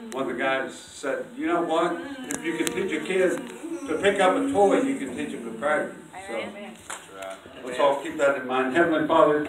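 A man speaks at a moderate pace with ordinary pitch variation, his voice carrying audible room echo over light background noise. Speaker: lay preacher. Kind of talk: sermon testimony and prayer. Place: church.

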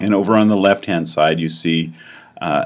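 The background is silent and the recording very clean. A man talks with an American accent. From US, Colorado. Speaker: accounting professor. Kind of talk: course introduction video. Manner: hesitant, many fillers.

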